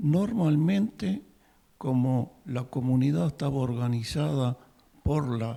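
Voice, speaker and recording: A man with a fairly high, somewhat breathy voice speaks at a very slow pace. His tone is dark and mellow, and his intonation is lively. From Uruguay. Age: 80s+. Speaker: audience member at a talk. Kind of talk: public comment at a talk.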